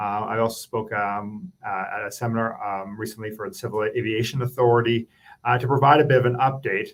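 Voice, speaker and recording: With a Canadian accent, a man speaks in a normal speaking voice at a medium pitch. He talks at a fairly quick pace with ordinary pitch variation. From Canada. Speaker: government policy advisor. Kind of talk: presentation.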